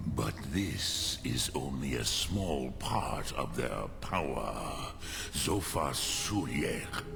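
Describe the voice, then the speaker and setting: Over loud background noise, a man does a put-on character voice at a very slow pace. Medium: machinima. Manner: solemn, measured.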